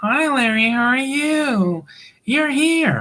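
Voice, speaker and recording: A female-sounding, put-on character voice speaks at a high pitch and a very slow pace. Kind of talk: polished, formal. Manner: mocking, put-on.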